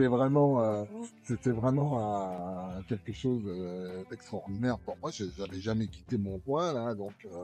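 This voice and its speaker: A man speaks very slowly at a fairly low pitch with lively intonation while music plays in the background. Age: 70s. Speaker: electric unicycle rider. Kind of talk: interview answer.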